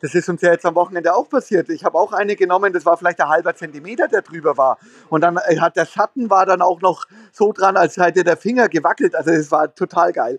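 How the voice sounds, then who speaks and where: Dry and close with no echo, the clip has a man talking at a very fast pace with high pitch and ordinary pitch variation. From Lower Bavaria (Straubing). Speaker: volleyball head coach. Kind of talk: casual interview. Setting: remote call from hotel lobby.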